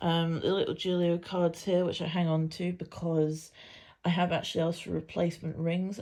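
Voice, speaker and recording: With a British accent, a woman speaks at a moderate pace in a fairly low pitch with a dark, mellow tone. Her intonation is fairly even, and the recording is very clean with a silent background. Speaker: planner vlogger. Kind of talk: casual show-and-tell tutorial. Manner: casual with frequent fillers.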